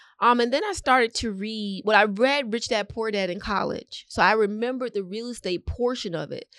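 Using a plain, everyday voice, a woman with fairly high pitch and ordinary pitch variation speaks at a fairly quick pace with an American accent. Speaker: realtor. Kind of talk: interview.

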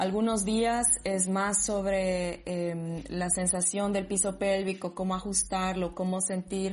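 A woman speaks at a very slow pace in a somewhat breathy voice. Her intonation is fairly even. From Bolivia, Sucre. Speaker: dancer, DJ and psychologist. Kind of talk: casual interview.

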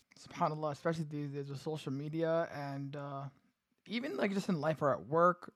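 A man speaks at a fairly quick pace in an unremarkable speaking voice. His pitch is fairly high and his intonation fairly even. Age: 20s. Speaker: podcast co-host. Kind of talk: casual chat.

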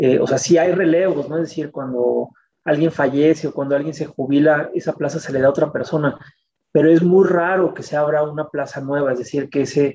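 A man at a fairly high pitch talks at a moderate pace with fairly even intonation. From Mexico City. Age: 40s. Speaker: communication researcher and academic. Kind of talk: interview. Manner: halting, many fillers.

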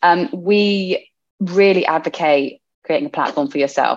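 A woman has a plain, everyday voice at a fairly low pitch. Her intonation is lively. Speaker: podcast co-host. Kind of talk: casual chat. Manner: excitable.

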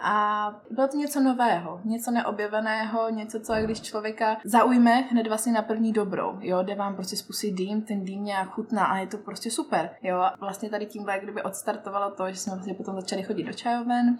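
The speech moves at a moderate pace with hardly any pauses and fairly even intonation. Background noise is noticeable. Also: woman, fairly high pitch for a woman. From Czech Republic, Zlín region. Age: 20s. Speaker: hookah lounge owner. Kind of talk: casual chat. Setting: hookah lounge in a shopping centre.

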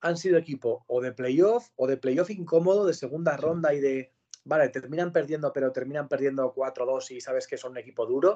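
A man talks at a fairly quick pace with a fairly high pitch. He has an unremarkable speaking voice. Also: quiet background. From Spain, Pamplona (Navarre). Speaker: sports broadcaster. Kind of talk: interview. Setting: video call from home.

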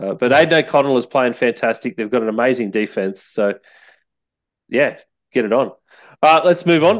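A man with an Australian accent speaks at a medium pitch with lively intonation over a quiet background. Long, frequent pauses break up his speech. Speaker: podcast host. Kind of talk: casual sports chat. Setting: studio.

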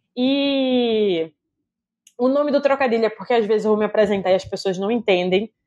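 A woman speaks in a normal speaking voice at medium pitch and a moderate pace, with lively intonation. The sound is dry and close with no echo. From Recife, Brazil. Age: 20s. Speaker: film director and producer. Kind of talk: casual interview chat.

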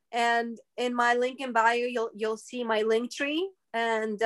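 In a very clean recording with a silent background, a woman speaks at a very slow pace. She has a high pitch and a Russian accent. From Brooklyn, New York (born in Russia). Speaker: spiritual podcaster. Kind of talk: casual chat.

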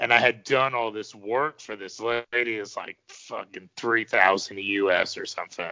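The man has an ordinary speaking voice with a medium pitch and fairly even intonation. He talks at a fairly slow pace with hardly any pauses and big swings in loudness. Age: 30s. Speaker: podcast host. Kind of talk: casual chat. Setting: phone call.

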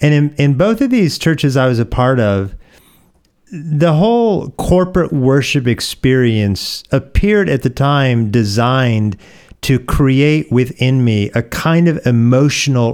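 On a very clean recording with a silent background, a man with an ordinary speaking voice and an American accent talks at a fairly slow pace in a medium pitch, with lively intonation and very even loudness. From US Pacific Northwest (Oregon). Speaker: pastor. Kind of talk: podcast interview.

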